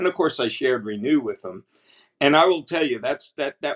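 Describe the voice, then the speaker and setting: With ordinary pitch variation, a man talks against a quiet background. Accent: New Jersey. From New Jersey. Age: 70s. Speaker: customer giving product testimonial. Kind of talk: product testimonial to camera. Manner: enthusiastic, hesitant. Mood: enthusiastic, grateful. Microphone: webcam.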